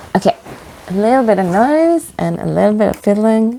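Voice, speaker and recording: A woman speaks with a non-native accent and a dark, mellow tone. Her pitch sits fairly high. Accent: non-native English pronunciation. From Norway, west coast. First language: Norwegian. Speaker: knitting vlogger. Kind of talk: casual chat. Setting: cabin. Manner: halting.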